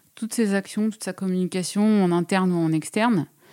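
A woman talks at a moderate pace in a dark, mellow tone. The recording is very clean with a silent background and a dry, close sound with no echo. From rural France. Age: 40s. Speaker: freelance writer and artist. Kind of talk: interview. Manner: hesitant, many fillers.

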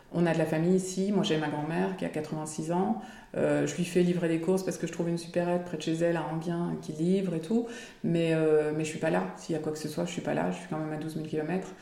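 A woman with a fairly low pitch talks at a fairly quick pace with fairly even intonation, amid noticeable background noise and audible room echo. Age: 40s. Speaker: former expat mother, small business owner. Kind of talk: interview testimony. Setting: at home.

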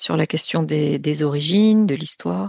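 A woman's lively intonation unfolds at a fairly slow pace. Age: 50s. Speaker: psychotraumatology doctor. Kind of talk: interview.

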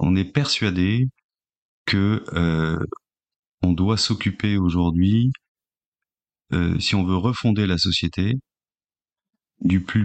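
A man speaks at a very slow pace in a very deep, low voice with ordinary pitch variation. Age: 40s. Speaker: social entrepreneur. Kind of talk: interview. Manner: halting, many fillers and repetitions.

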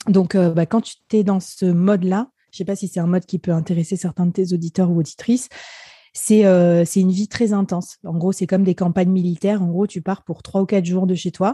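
A woman's dark, mellow, somewhat breathy voice at a fairly quick pace, fairly even intonation, dry, close sound with no echo, and a quiet background. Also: medium pitch for a woman. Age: 30s. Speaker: business executive. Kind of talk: casual chat.

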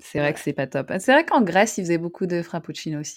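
A woman talks at a moderate pace, and her intonation is lively. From northern France (Roubaix). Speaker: podcast co-host. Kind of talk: casual chat.

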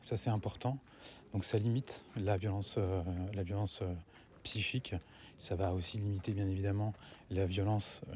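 A man's dark, mellow, somewhat breathy voice, fairly low in pitch, very even in loudness, broken by long, frequent pauses. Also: fairly even intonation, very clean recording, silent background. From France, grew up in a housing estate. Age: 40s. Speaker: podcast host, parenting. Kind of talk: solo monologue podcast. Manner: fast, swallows words; soft-spoken late in recording.

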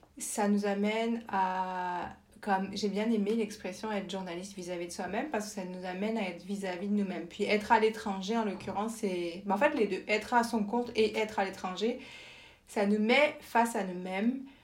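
A woman's fairly even intonation with audible room echo. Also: medium pitch for a woman, moderate pace. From France. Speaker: journalist and communications professional. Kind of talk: interview conversation.

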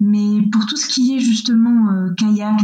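A woman's fairly high-pitched voice. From western France, near Angers. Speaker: eco-adventurer and environmental activist. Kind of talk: interview. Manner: hesitant, many fillers and repetitions.

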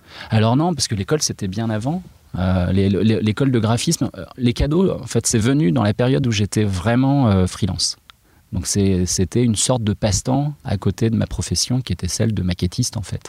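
Heard in a dry, close sound with no echo, a man with a fairly low pitch talks at a moderate pace with lively intonation. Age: 40s. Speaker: illustrator and comic book author. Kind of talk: interview. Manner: hesitant, many fillers.

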